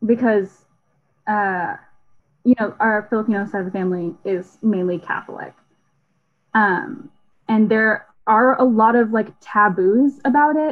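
A woman with an American accent speaks at a fairly slow pace in a fairly high pitch. Her pitch variation is ordinary, and she takes long, frequent pauses. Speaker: engineering student. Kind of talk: casual chat.

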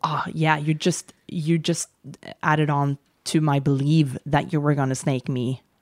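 In a Norwegian accent, a woman speaks at a very deep, low pitch and a fairly slow pace, with monotone, flat intonation, very even loudness and a dry, close sound with no echo. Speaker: podcast co-host, surfer. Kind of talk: casual chat.

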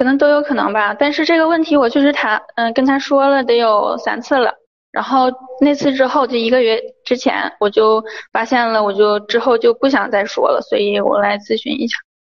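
A woman with a high-pitched voice and ordinary pitch variation talks at a fairly quick pace. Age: 20s. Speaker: caller seeking relationship advice. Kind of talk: call-in advice conversation. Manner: halting, many fillers.

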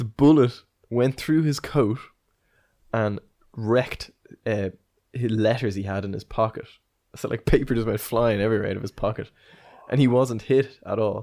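With an Irish accent, a man speaks at a medium pitch in a dark, mellow tone, using fairly even intonation and long, frequent pauses. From Ireland. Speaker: podcast host. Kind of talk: casual chat, history podcast. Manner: fast talker.

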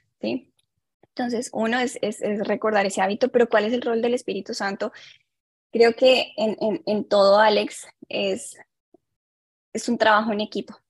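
A somewhat breathy voice at a moderate pace, with fairly even intonation, long and frequent pauses, and a dry, close sound with no echo. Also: woman, fairly high pitch for a woman. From Colombia. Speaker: clinical psychologist. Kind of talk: interview on mental health.

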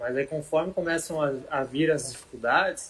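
The voice has fairly even intonation, with noticeable background noise. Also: man. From Santa Catarina, Brazil (Rio do Sul area). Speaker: former professional footballer (defender). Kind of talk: interview.

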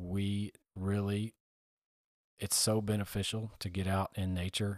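A monotone, flat delivery with an American accent on a very clean recording against a silent background. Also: man, dry, close sound with no echo. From United States. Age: 30s. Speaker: podcast host, army recruiter. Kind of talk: solo podcast monologue. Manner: conversational with frequent fillers.

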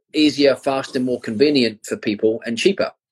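Recorded with a dry, close sound and no echo, a man speaks at a fairly high pitch in a New Zealand accent. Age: 40s. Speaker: crypto and finance educator. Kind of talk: interview on a live stream.

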